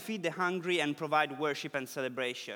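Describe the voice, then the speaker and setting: A man with an Italian accent and a bright, sharp tone speaks with ordinary pitch variation on a very clean recording with a silent background. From Italy. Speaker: preacher. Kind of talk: sermon.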